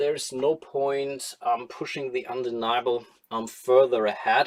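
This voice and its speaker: A man speaks at a fairly high pitch with a strong German accent. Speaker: board game streamer. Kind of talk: live stream solo gameplay commentary. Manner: casual, thinking aloud with hesitations.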